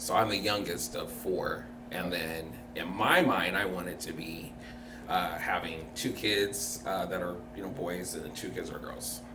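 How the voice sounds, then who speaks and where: A man speaks at a fairly slow pace with big swings in loudness. Audible room echo and noticeable background noise surround him. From Tacoma, Washington, US. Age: 30s. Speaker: podcast guest. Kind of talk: interview.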